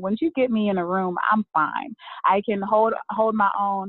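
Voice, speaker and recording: A woman speaks with an Alabama accent. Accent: Southern US (Alabama). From US South, Birmingham, Alabama. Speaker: networker and event organizer. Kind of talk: interview.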